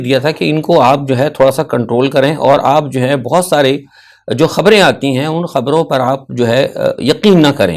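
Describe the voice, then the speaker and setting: In a very clean recording with a silent background, the speech unfolds at a moderate rate. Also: man. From Pakistan. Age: 60s. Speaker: political commentator. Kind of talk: news analysis monologue. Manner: halting, with frequent filler sounds.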